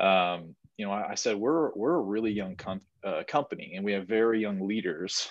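A normal speaking voice from a man, his pitch fairly low and varying in an ordinary way. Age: 20s. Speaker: podcast co-host, young business owner. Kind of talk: casual chat.

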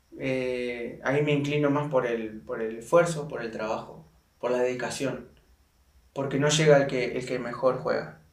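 Over audible room echo, a man talks at a moderate pace with a fairly high pitch. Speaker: football player. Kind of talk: casual chat.

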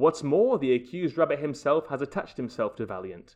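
Against a quiet background, a man talks in a normal speaking voice with lively intonation and a fairly quick pace. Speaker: podcast co-host. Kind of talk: casual chat.

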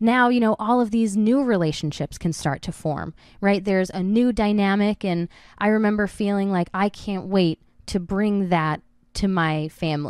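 A woman speaks in a plain, everyday voice at medium pitch, keeping a moderate pace and ordinary pitch variation, on a very clean recording with a silent background. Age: 20s. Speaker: solo podcast host. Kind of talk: personal monologue. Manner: casual, with many fillers.

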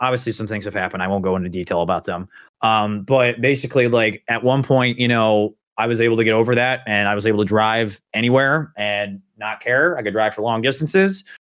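A man's unremarkable speaking voice, medium in pitch, with ordinary pitch variation and a fairly quick pace. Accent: American. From Indiana. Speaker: podcast host. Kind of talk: casual chat.

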